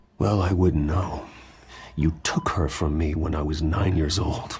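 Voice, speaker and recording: In a put-on character voice, a man speaks very deep and low at a moderate pace. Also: ordinary pitch variation. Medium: video game. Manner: terse, controlled.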